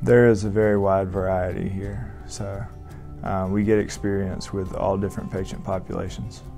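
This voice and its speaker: Faint music plays in the background as the speaker talks at a moderate pace with a Southern US accent and ordinary pitch variation. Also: man. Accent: Southern American. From Augusta, Georgia, USA. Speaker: family medicine resident doctor. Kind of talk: interview answer. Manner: hesitant, many fillers. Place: office. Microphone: lapel.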